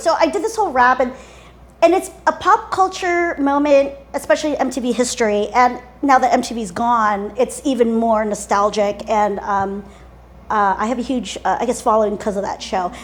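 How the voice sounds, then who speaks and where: Over music in the background, a woman with a high-pitched voice and a General American accent talks at a moderate pace with lively intonation. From Washington, D.C. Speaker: entertainer. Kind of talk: interview answer. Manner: spunky, vivacious.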